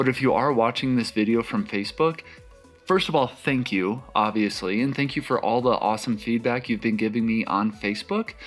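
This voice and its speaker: A man's voice with ordinary pitch variation over faint music in the background. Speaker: astrophotography youtuber. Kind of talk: tutorial. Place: home room.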